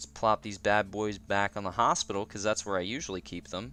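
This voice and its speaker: This man has a Canadian accent. He talks at a moderate pace. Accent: Canadian, noticeable in 'out'. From Canada. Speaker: gaming streamer. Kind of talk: casual livestream chat. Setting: livestream. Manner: casual, many fillers.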